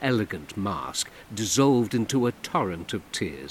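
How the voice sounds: A natural reading voice with pitch shifting in an ordinary way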